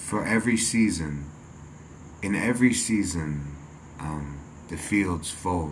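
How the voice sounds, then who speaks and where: Somewhat breathy speech at a fairly slow pace, with light background noise. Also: man, very deep, low pitch for a man. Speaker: vlogger. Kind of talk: casual vlog chat, reflective. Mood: calm, reflective. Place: home room.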